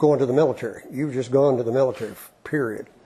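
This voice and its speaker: With an Appalachian accent, a man speaks at a medium pitch in a dark, mellow, somewhat breathy tone, his intonation fairly even. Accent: Appalachian Southern US. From Eastern Kentucky, Appalachia. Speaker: retired physician and professor. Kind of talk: oral history interview. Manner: conversational, with hesitations.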